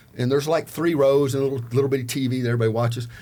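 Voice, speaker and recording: Music plays in the background. A man talks at medium pitch. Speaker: former prisoner turned salesperson. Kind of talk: casual chat. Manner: loud; animated.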